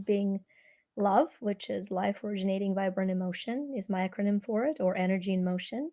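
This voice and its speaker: A woman's dark, mellow voice with a Ukrainian accent. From Ukraine. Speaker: energy healer and speaker. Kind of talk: interview.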